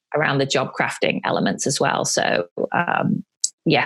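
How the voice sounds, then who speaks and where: With a British accent, a woman talks at a fairly quick pace. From United Kingdom. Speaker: life coach and entrepreneur. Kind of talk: interview answer.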